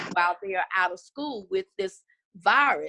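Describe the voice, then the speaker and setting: At a moderate pace, a woman talks in an unremarkable speaking voice. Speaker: pastor of a small rural church. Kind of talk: interview on a video call.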